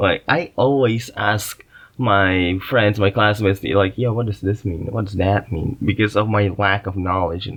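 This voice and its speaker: In an Indonesian accent, a man speaks at a moderate pace and fairly low pitch with fairly even intonation. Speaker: podcast host. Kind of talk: casual monologue. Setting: makeshift booth in a closet. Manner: halting, many fillers.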